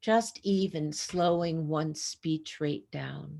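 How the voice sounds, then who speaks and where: Very slow and very deep, a woman's low voice has a dark, mellow tone and ordinary pitch variation. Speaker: clinician presenter. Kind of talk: lecture. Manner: many fillers.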